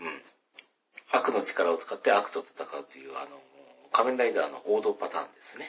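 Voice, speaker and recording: A man talks at a fairly quick pace with a slight Kansai accent. His loudness swings widely, and he takes long, frequent pauses. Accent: faint Kansai. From Hyogo, Kansai, Japan. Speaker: podcast host. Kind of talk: solo casual talk. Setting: bathroom at home. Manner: subdued tone; low energy.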